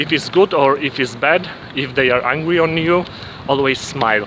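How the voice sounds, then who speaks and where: Noticeable background noise accompanies a man talking at a moderate pace with a Polish accent. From Poland. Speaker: vlogger. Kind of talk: casual vlog monologue. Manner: halting, many fillers and restarts.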